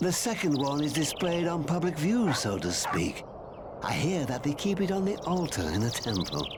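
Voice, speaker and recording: A man puts on a character voice at a fairly high pitch, cackling at a moderate pace. Loud background noise runs throughout. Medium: video game. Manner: archaic, cackling, rambling.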